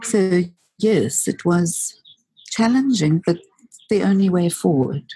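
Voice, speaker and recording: A woman's fairly low, somewhat breathy voice in a dark, mellow tone, with lively intonation, very even loudness, a very slow pace and long, frequent pauses. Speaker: single mother. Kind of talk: personal life story interview. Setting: public library.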